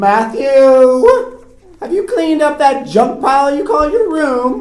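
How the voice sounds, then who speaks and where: A woman uses a put-on character voice, loud and high in pitch. She speaks at a fairly slow pace. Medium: read story. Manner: nagging, loud.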